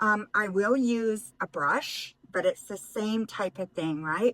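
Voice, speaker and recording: A woman speaks in an ordinary speaking voice at medium pitch, with ordinary pitch variation and a fairly slow pace. The sound is dry and close, with no echo. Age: 60s. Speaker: retired lifestyle and makeup vlogger. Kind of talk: casual makeup tutorial talk to camera. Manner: relaxed, chatty.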